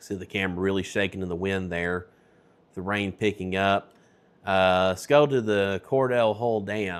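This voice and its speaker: Fairly even intonation marks this speech with a Tennessee accent. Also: man, fairly low pitch for a man, moderate pace. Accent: Tennessee Southern. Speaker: weather broadcaster. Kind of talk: live storm coverage. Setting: studio.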